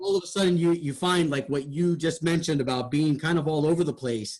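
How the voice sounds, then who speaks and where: A man's animated tone at a moderate pace. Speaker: radio host. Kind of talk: feedback discussion. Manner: animated, wide pitch range.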